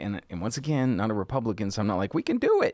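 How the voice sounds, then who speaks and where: On a very clean recording with a silent background, a man with a medium-pitched voice speaks with lively intonation. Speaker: political commentary host. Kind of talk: casual political talk show chat.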